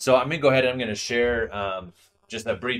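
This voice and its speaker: Fairly quick pace from a male speaker. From Northern Washington, US. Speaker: YouTube collector channel host. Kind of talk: casual chat. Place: home room. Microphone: video call.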